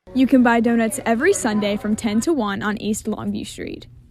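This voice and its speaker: Background noise is noticeable in this clip. Over it, a woman talks fairly quickly at a fairly high pitch. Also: ordinary pitch variation. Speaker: student sports reporter. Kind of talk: TV news package narration.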